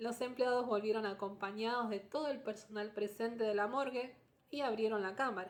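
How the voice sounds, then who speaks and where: Here is an unremarkable speaking voice from a woman, pitched fairly high. She keeps a moderate pace with ordinary pitch variation. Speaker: storytelling podcast host. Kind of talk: storytelling narration. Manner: conversational with asides.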